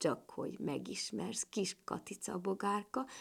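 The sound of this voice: On a very clean recording with a silent background, a woman puts on a character voice at medium pitch, her lively intonation carrying a slightly husky edge and vocal fry.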